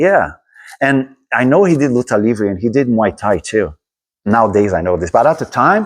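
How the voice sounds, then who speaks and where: Here a man with a Brazilian accent speaks at medium pitch and a moderate pace. His pitch swings very widely against a quiet background. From Brazil, Rio de Janeiro. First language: Portuguese. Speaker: martial arts instructor. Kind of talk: casual interview. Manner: halting, many repeats.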